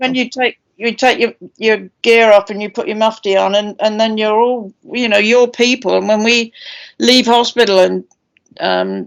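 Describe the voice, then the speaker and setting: A woman with a British accent speaks at a moderate pace in a fairly high, flat, monotone voice, recorded very cleanly against a silent background. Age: 70s. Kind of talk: panel discussion.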